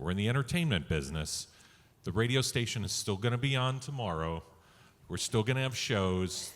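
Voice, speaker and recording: A plain, everyday voice moves at a fairly quick pace with lively intonation. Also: man. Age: 60s. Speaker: radio executive. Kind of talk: panel discussion.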